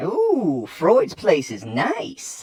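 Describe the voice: A man performs a cartoonish character voice with high pitch.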